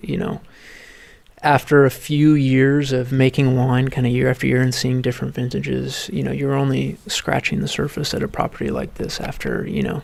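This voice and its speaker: A man's speech runs at a medium tempo while noticeable noise sounds behind him. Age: 30s. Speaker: winemaker. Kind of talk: interview. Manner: halting, many fillers.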